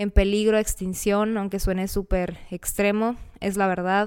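In a very clean recording with a silent background, a woman speaks at a medium pitch and a moderate pace with monotone, flat intonation. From Mexicali, Baja California, Mexico. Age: 20s. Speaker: podcast host, recent dental graduate. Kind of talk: casual monologue.

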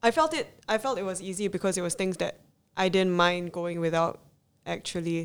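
A woman with a plain, everyday voice speaks at a fairly quick pace and medium pitch, with ordinary pitch variation. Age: 20s. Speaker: small business owner, zero waste advocate. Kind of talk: interview.

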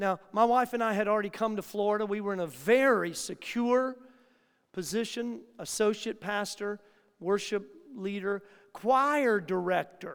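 This man has a high pitch, with ordinary pitch variation and a moderate pace. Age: 60s. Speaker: pastor. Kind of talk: sermon.

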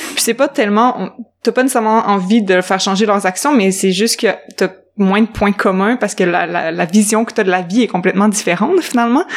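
Speaking at a fairly quick pace, a woman uses a normal speaking voice of medium pitch with ordinary pitch variation. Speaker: podcast co-host. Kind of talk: casual chat.

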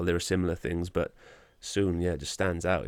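With a Welsh accent, a man talks at a very fast pace in a very deep, low pitch and a monotone, flat intonation on a very clean recording with a silent background. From Wales. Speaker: podcast host. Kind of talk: interview. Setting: pub basement studio.

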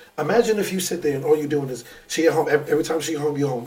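Very fast New York accent from a man, fairly high in pitch, with ordinary pitch variation. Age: 30s. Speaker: podcast co-host, former teacher, life coach. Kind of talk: casual chat.

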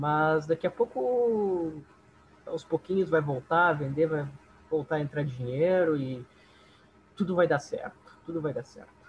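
A man's fairly high voice at a fairly slow pace, with long, frequent pauses and big swings in loudness. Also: ordinary pitch variation. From southern Brazil, Esteio (Rio Grande do Sul). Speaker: bass player in a band. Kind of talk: casual interview chat.

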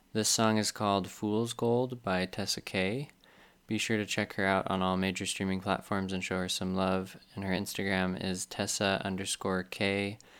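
This man has a fairly low pitch and speaks at a moderate pace in a flat, monotone way. The recording is very clean, with a silent background. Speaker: podcast host. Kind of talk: casual chat.

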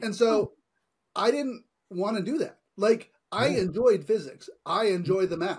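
The speaker talks at a fairly slow pace with an American accent. Pitch variation is ordinary. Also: man, high pitch for a man. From California. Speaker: tech entrepreneur. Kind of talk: interview.

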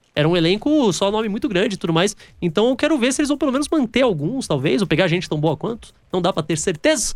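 A high-pitched man talks at a very fast pace with hardly any pauses. His pitch swings very widely while his loudness stays very even. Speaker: radio host. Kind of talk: casual chat.

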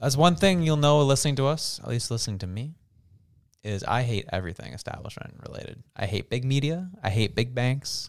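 Lively in intonation and fairly quick in pace, a man talks at a medium pitch in an unremarkable speaking voice. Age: 20s. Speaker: podcast co-host. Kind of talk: casual chat.

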